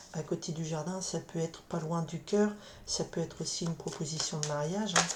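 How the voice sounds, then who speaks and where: Soft-spoken and fairly low-pitched, a woman talks at a fairly quick pace with fairly even intonation against noticeable background noise. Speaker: tarot card reader. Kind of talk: tarot reading. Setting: others nearby, keeps voice down. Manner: halting, many repetitions. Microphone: camera mic, sound too quiet.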